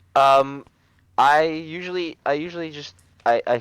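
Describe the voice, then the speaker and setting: A man with an American accent is heard dry and close, with no echo. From Canada. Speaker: teacher, coaching client. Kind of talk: casual chat. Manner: halting, many fillers and restarts.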